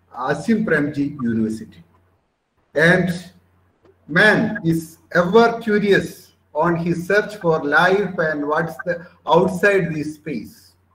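A man's high-pitched voice at a very slow pace, with ordinary pitch variation and audible room echo. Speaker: webinar organizer host. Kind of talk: formal webinar hosting. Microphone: video call.

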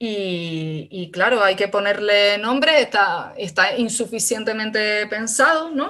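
A woman with a bright, sharp tone and fairly high pitch talks at a very slow pace with lively intonation and hardly any pauses. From Canary Islands. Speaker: philosophy researcher; speaker. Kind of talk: talk in an online seminar. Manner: halting. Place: home room. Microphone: video call.

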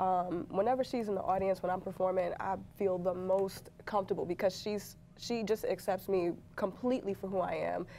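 Over light background noise, the voice has a dark, mellow tone, a New York accent and fairly even intonation. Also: woman. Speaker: comedian. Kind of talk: stand-up. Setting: stage with audience. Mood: warm, reflective. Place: studio. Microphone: lapel.

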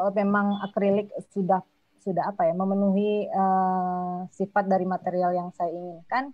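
A woman at a moderate pace, dry sound with no echo, over a quiet background. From West Sumatra, Payakumbuh; West Sumatra. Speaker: multimedia artist; guest. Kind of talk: casual chat. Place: home room. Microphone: video call.

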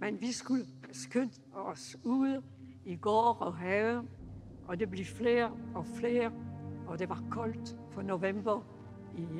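Over clear background music, a woman talks at a very slow pace with long, frequent pauses. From Paris, France. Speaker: Holocaust survivor. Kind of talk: public lecture to an audience. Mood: grave, reflective storytelling. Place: home room.

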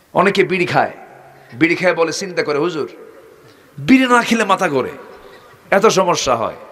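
A man speaks loudly at a high pitch. His tone is animated and his intonation lively. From Bangladesh. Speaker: Islamic preacher. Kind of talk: sermon. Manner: animated, calls for loud responses. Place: stage. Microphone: podium.

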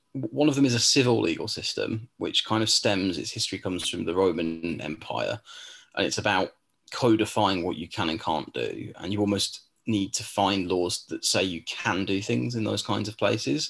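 A man speaks at a moderate pace with a fairly low pitch and vocal fry. His intonation is lively, and the background is quiet. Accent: English. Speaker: law tutor; admissions tutor. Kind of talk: webinar Q&A. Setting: video call. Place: home room. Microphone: webcam.

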